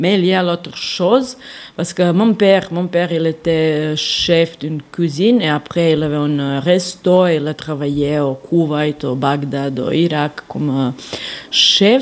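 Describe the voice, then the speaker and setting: A woman with a Serbian accent, a very deep, low pitch, ordinary pitch variation and a very slow pace, over noticeable background noise. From Serbia, Belgrade. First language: Serbian (speaking French). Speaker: soup maker and former journalist. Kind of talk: recorded interview. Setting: market and home kitchen. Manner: halting.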